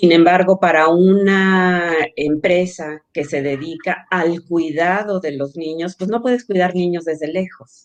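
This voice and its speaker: In an unremarkable speaking voice, a woman speaks at a fairly slow pace with a fairly low pitch and fairly even intonation. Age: 60s. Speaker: social entrepreneur, childcare company cofounder. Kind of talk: interview.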